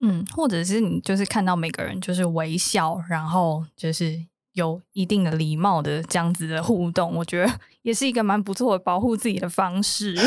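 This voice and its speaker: At a moderate pace, a woman talks in an unremarkable speaking voice, fairly low in pitch with ordinary variation. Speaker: business development rep. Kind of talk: casual chat.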